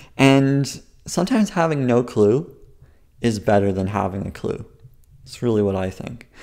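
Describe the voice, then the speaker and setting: A man's medium-pitched voice with a dark, mellow tone, lively intonation, moderate pace and long, frequent pauses, on a very clean recording with a silent background. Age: 20s. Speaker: comedian. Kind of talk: comedy sketch interview.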